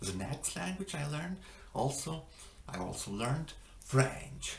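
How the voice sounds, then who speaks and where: A man with a fairly high pitch speaks at a fairly slow pace, his pitch swinging very widely, with audible room echo. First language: not English. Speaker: language-learning vlogger. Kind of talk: casual vlog monologue. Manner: halting, many fillers.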